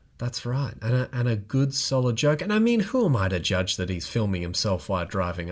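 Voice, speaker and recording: The recording is very clean and the background silent. A man talks with a somewhat breathy quality. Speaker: podcast co-host. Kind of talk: casual chat.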